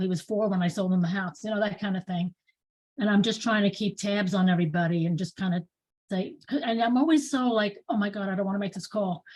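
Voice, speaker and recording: A woman with a New York accent, medium pitch, ordinary pitch variation, a fairly quick pace and a somewhat breathy voice. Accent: New York accent, still noticeable. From New York, Bronx. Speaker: real estate agent. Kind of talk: casual chat.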